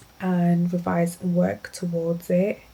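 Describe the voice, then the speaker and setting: The speaker is a woman. Her pitch is medium. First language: not English. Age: 20s. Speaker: lifestyle vlogger. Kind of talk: casual vlog chat. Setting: at home in her room.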